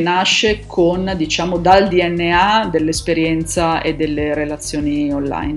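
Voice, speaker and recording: Over noticeable background noise, a woman speaks with a fairly low pitch and ordinary pitch variation. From Milan, northern Italy. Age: 50s. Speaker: online community founder and digital marketing expert. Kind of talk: podcast interview.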